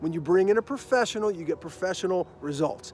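There is faint music in the background as a man speaks, the sound dry with no echo. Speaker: screenwriting coach. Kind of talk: casual promotional story. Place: open country. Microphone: phone near.

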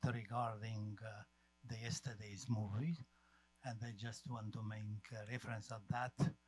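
The sound is dry with no echo as a man speaks at a fairly slow pace. Music plays in the background. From Romania. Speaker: audience member. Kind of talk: audience question. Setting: stage with audience. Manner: halting. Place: hall.

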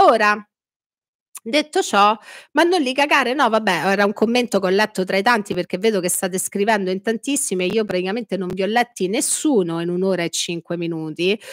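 A woman's lively, fairly quick voice, dry with no echo, over a quiet background. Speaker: political commentary streamer. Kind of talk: live stream chat. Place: home room. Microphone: studio mic.

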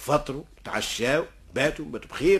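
Animated and bright with a sharp tone, a man's voice moves at a moderate pace. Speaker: storyteller. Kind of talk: oral folk storytelling. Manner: animated, acts out dialogue.

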